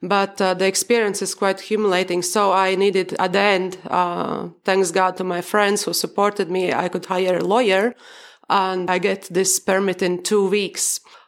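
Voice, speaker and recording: A woman's medium-pitched voice at a moderate pace, flat and monotone in intonation. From Baltic states. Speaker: mother living abroad. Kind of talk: casual chat.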